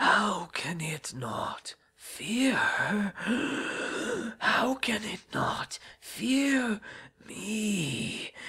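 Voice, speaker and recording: A put-on character voice, hoarse and raspy, moves at a very slow pace. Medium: read story. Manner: whispering, breathy, eerie.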